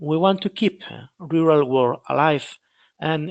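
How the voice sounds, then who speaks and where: Speaking very slowly with a Galician accent, a man with a fairly high voice uses ordinary pitch variation in a dry, close recording with no echo and a quiet background. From Spain, Galicia. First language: Spanish or Galician. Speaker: dairy researcher. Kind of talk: webinar presentation. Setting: online webinar. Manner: halting, many repetitions.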